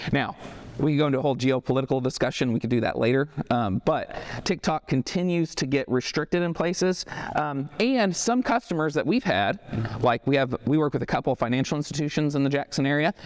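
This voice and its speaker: An American-accented man, fairly high in pitch, very fast and lively in intonation, with very even loudness and a dry, close, echo-free sound amid noticeable background noise. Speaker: marketing agency owner giving a talk. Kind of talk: talk to a business audience. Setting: stage with live audience, no microphone.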